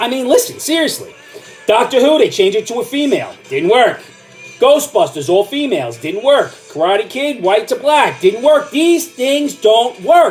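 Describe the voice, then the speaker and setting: An angry tone marks this man's extremely high pitch and lively intonation, with music in the background. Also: moderate pace. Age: old. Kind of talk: ranting talk to camera.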